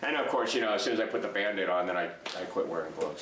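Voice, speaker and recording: A man's fairly low voice with ordinary pitch variation, audible room echo and noticeable background noise. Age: 60s. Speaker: DIY product reviewer. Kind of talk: casual tool review. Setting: workshop at workbench. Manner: halting, many fillers.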